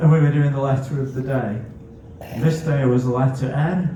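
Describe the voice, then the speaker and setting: With a Scouse accent and fairly high pitch, a man speaks amid noticeable background noise and audible room echo. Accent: northwest England (Scouse). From northwest England, Netherton, Bootle (Merseyside). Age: 40s. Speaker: comedian. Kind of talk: stand-up.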